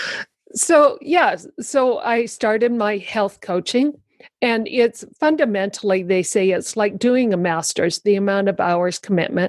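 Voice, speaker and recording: With a plain, everyday voice, a woman talks fairly slowly at a fairly high pitch with lively intonation, the sound dry and close with no echo. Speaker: guest sharing life story. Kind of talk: casual interview chat.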